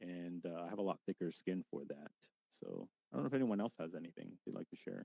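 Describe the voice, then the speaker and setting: Very fast and very deep, a man's voice has a dark, mellow tone, ordinary pitch variation and a dry, close sound with no echo. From Hawaii and Florida, US. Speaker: discussion participant. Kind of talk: casual group discussion. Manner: hesitant, many fillers.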